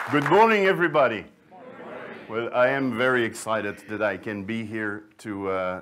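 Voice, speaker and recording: A man with a Flemish Belgian accent, a fairly low pitch and a moderate pace. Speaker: sourdough librarian, baking expert. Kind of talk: conference talk.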